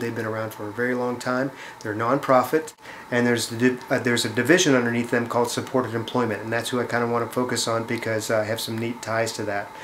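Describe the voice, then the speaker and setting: Against noticeable background noise and audible room echo, a man of medium pitch talks at a very fast pace. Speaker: charity fundraiser. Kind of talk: appeal to viewers. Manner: hesitant, many fillers.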